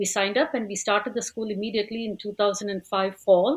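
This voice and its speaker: Against a quiet background, a woman with a Tamil accent speaks at a medium pitch. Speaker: language school teacher. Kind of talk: podcast interview.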